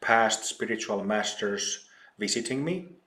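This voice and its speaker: The speaker talks at a very slow pace in a Finnish accent. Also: man. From Finland, old mining town. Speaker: spiritual teacher. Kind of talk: interview.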